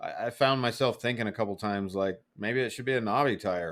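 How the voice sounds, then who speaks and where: This man has a plain, everyday voice with a fairly low pitch. He keeps a moderate pace and fairly even intonation. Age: 40s. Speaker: motorcycle podcast host. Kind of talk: casual chat.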